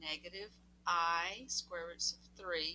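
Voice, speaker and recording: A woman with a Southern US accent speaks at a very slow pace, her fairly low voice carrying a bright, sharp tone. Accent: southern drawl. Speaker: math teacher. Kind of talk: tutorial. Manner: casual, animated.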